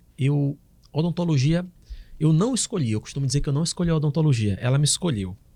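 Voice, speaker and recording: A somewhat breathy man with a fairly high pitch, a dark, mellow tone and ordinary pitch variation. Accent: northeastern Brazilian. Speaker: oral and maxillofacial surgeon. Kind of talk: podcast interview.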